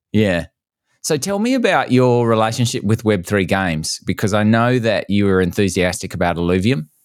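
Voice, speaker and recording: This man has an unremarkable speaking voice, fairly low in pitch, with ordinary pitch variation. He keeps a moderate pace and very even loudness in a very clean recording with a silent background. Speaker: podcast host. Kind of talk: interview.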